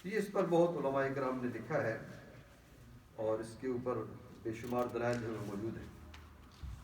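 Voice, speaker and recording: A man speaks in a normal speaking voice at medium pitch. His intonation is lively. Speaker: imam, religious speaker. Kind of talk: explanatory religious talk in Urdu.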